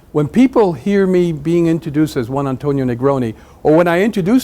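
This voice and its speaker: A man's very fast speech in a Spanish accent, dark and mellow in tone, with ordinary pitch variation. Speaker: business executive, guest speaker. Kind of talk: talk to students. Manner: halting.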